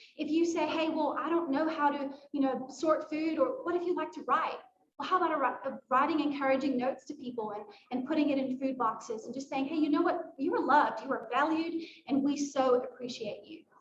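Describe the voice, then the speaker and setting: A woman's high voice with audible room echo. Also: ordinary pitch variation, fairly quick pace. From South Africa. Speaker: nonprofit staff member. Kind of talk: presentation at a volunteer fair. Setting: library event at a podium.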